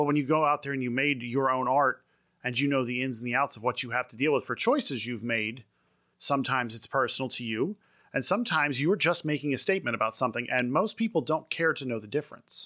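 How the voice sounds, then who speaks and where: A man's very fast speech, medium in pitch, with a bright, sharp tone. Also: very clean recording, silent background. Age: 40s. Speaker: podcast panelist. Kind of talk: casual chat.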